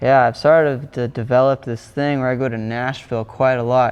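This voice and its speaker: Speaking at a moderate pace in a flat monotone, a man with an American accent keeps a medium pitch. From Bahamas. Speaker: singer-songwriter. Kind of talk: interview. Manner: casual, many fillers.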